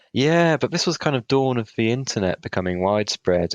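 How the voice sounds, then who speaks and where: This man's intonation is lively, and he has a British accent. The background is quiet. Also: dry, close sound with no echo. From Britain. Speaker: podcast co-host. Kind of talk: casual chat.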